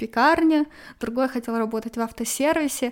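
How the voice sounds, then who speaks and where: A high-pitched woman's voice on a very clean recording with a silent background. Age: 20s. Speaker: graduate student. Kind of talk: interview.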